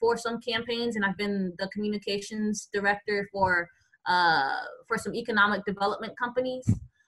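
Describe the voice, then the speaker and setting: A woman's medium-pitched voice with an American accent, at a moderate pace. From Florida (Tampa). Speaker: small-town mayor and entrepreneur. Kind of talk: interview, casual chat. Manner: hesitant, many fillers.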